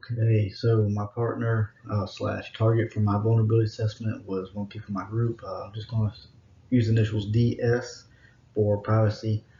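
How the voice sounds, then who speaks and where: At a moderate pace, a man speaks in a medium pitch with monotone, flat intonation. His voice is dark, mellow and somewhat breathy, with big swings in loudness. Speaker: student. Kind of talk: class presentation. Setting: home. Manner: halting.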